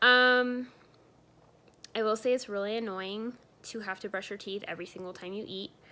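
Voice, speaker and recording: A woman's fairly high, bright, sharp voice keeps a fairly even intonation, broken by long, frequent pauses. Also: moderate pace, big swings in loudness. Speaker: vlogger. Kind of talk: casual vlog update. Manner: many fillers, um and uh.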